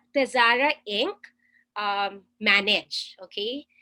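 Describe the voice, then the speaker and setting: A woman talks at a very slow pace with a Filipino accent. Her tone is bright and sharp. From Philippines. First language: Tagalog. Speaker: webinar presenter. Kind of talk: webinar presentation. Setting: video call.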